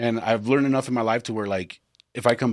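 A man with an American accent at a very fast pace, fairly even intonation, on a very clean recording with a silent background. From Texas. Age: 30s. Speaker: podcast host. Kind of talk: casual chat.

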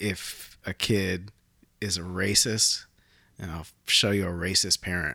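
Very deep and low in pitch, a man speaks at a fairly slow pace in a monotone, flat way, his tone bright and sharp. The recording is very clean, with a silent background. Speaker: photographer. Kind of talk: casual chat. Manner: laughs often.

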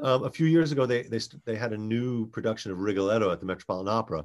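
A man speaks with a normal speaking voice at medium pitch. His pitch varies in an ordinary way over a quiet background. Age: 50s. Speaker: comedian and actor. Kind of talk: casual chat.

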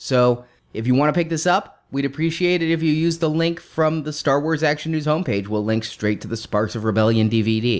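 A man with an ordinary speaking voice talks at a fairly quick pace with a fairly high pitch, lively intonation and hardly any pauses, on a very clean recording with a silent background. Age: 30s. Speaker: podcast co-host. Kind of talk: casual chat.

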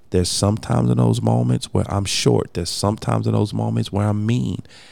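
Against noticeable background noise, a man speaks very fast in a very deep, low pitch. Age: 40s. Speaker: podcast host. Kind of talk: casual chat.

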